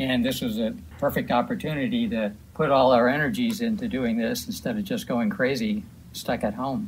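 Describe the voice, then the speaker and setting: Somewhat breathy, a man talks at a moderate pace. His pitch swings very widely. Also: medium pitch for a man. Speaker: author and retired astronomer. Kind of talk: radio interview. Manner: halting.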